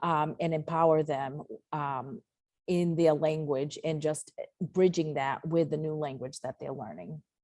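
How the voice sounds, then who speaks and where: A woman with a Portuguese accent speaks at a fairly slow pace with a very deep, low pitch, a dark, mellow tone, and fairly even intonation. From US, Portuguese-Azorean immigrant family. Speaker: educator, webinar presenter. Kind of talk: webinar presentation. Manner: halting, many fillers.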